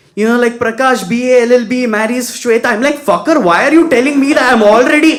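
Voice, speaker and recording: A man with a South Indian accent talks at a moderate pace. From Bangalore, India. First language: Kannada. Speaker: stand-up comedian. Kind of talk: stand-up.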